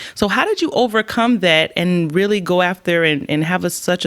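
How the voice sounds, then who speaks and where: Noticeable background noise sits behind a woman's fairly low voice. She speaks at a fairly quick pace with ordinary pitch variation. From Trinidad. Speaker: podcast host. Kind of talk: interview.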